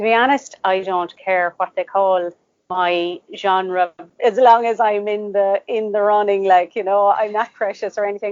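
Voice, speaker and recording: A woman speaks with an Irish accent at a moderate pace. Her pitch sits in the middle range, and her intonation stays fairly even. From Ireland, Cork. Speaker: author. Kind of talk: interview.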